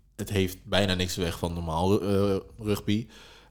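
A man speaks with a very deep, low pitch. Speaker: wheelchair rugby player. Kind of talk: casual interview.

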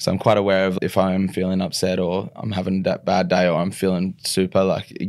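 A man's very deep, low voice with an Australian accent at a fairly quick pace. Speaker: retired rugby league player. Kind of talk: podcast interview. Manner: halting.

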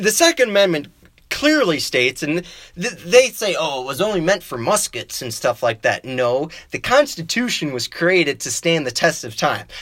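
A man talks in a high voice with very wide pitch swings. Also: moderate pace. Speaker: political podcast host. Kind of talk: political commentary monologue. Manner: stumbling, self-correcting.

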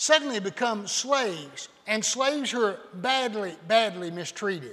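A man with a high pitch uses a raised, projected voice and lively intonation. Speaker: visiting preacher. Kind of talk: sermon. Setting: church.

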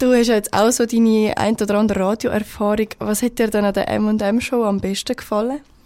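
With a Swiss accent, a woman speaks at a fairly high pitch in a monotone, flat delivery, her loudness very even and hardly any pauses. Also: moderate pace. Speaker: student radio host. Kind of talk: live radio show. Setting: studio.

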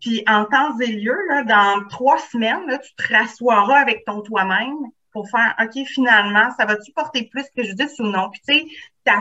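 A woman talks at a moderate speed, her pitch shifting in an ordinary way. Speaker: psychoeducator, author, trainer. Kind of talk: casual podcast interview.

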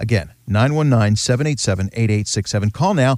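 On a very clean recording with a silent background, a man with an unremarkable speaking voice talks at a medium pitch with ordinary pitch variation. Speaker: radio host. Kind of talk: radio show host patter, bright chatty banter with a guest, plus promo-style announcements. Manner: upbeat, friendly, polished radio-announcer delivery.

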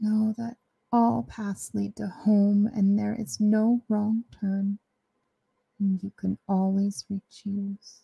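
A woman speaks at a very slow pace in a medium pitch, with a soothing, calm tone that is dark and mellow. Her voice is somewhat breathy, with a dry, close sound and no echo. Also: ordinary pitch variation. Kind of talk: guided meditation. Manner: slow, soothing, calm; gentle, with long pauses.

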